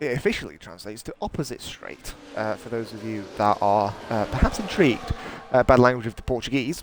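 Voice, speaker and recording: Over noticeable background noise, a man with an English accent speaks fairly quickly at a medium pitch, with ordinary pitch variation and big swings in loudness. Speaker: sim racing commentator. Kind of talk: live commentary. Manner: hesitant with fillers.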